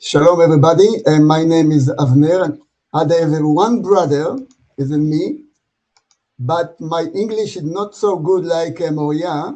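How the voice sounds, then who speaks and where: This man speaks with an Israeli accent, his voice high-pitched with a dark, mellow tone. He goes at a fairly slow pace with ordinary pitch variation. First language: Hebrew. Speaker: brother of the deceased. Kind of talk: memorial speech. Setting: video call.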